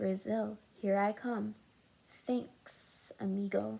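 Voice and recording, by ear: A woman puts on a character voice at a medium pitch. She speaks at a very slow pace, and there is hissing.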